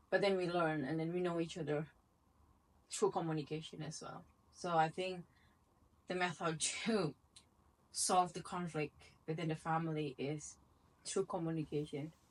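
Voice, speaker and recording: At a moderate pace, a woman talks with fairly even intonation and long, frequent pauses. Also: fairly low pitch for a woman. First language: not English. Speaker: channel host, wife and mother. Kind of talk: casual dinner conversation. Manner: halting.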